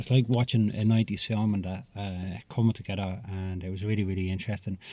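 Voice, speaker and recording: Very fast delivery in a dark, mellow tone, with fairly even intonation. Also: man. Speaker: film reviewer. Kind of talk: casual review monologue. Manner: hesitant, many fillers.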